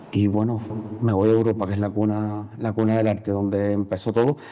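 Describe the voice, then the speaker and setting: Speaking in a flat monotone, a man holds a medium pitch. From Cuba. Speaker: painter. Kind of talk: interview. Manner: halting.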